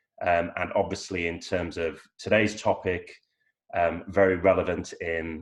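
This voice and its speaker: A man's very deep, low voice, somewhat breathy, with an English accent and monotone, flat intonation. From England, York. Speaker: lawyer. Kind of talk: webinar panel discussion. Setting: online webinar.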